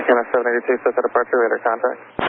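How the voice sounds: A man speaks at a very fast pace and medium pitch, flat and monotone, with vocal fry.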